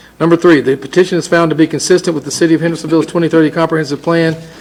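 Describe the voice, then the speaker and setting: A fairly high man's voice with a Southern US accent and monotone, flat intonation. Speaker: city council member. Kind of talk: council meeting motion reading. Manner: formal.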